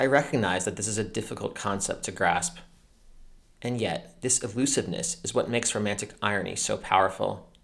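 A plain, everyday voice. A man talks at a fairly quick pace and fairly low pitch with ordinary pitch variation. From United States. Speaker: podcast host, literature and Torah commentator. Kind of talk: scripted narration. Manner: formal.

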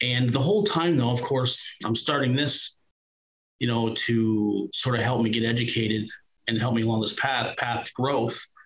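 In a Nova Scotia accent, the speaker goes at a moderate pace with ordinary pitch variation. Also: man, medium pitch for a man. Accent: Atlantic Canadian (Nova Scotia). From Nova Scotia, Annapolis Valley. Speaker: former paramedic and podcaster. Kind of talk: interview testimony.

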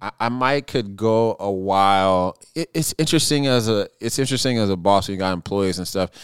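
A man's unremarkable speaking voice at a fairly low pitch and fairly quick pace, with ordinary pitch variation, hardly any pauses and a dry, close sound with no echo. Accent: American. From US Pacific Northwest, Seattle. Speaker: chef and restaurant owner. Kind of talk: casual chat. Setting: fireside, drinking bourbon.

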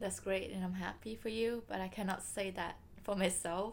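A woman's medium-pitched voice in a Vietnamese accent, at a moderate pace. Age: 20s. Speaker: podcast co-host. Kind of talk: casual chat.

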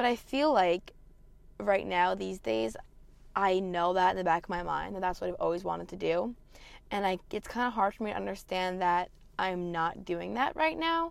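Talking at a moderate pace with lively intonation, a woman uses a medium pitch and a normal speaking voice on a very clean recording with a silent background. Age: 20s. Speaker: podcast host. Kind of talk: casual monologue.

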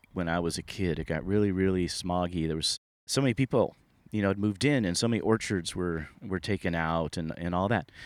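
A man's very deep, low voice at a fairly quick pace, with a Californian accent. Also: very clean recording, silent background. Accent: General American (California). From Sunnyvale, California, US. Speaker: storyteller recounting personal paranormal experiences. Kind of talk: first-person storytelling monologue. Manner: halting, many repetitions and fillers.

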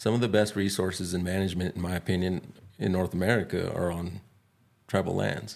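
Very deep and low in pitch, a man speaks at a fairly quick pace in monotone, flat intonation. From northern New Mexico. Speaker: wildlife biologist. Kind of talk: interview. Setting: in person. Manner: halting.

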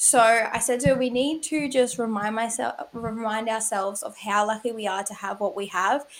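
A woman's fairly high voice, a plain, everyday voice, at a moderate pace with ordinary pitch variation. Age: 20s. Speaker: podcast host. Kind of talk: casual chat.

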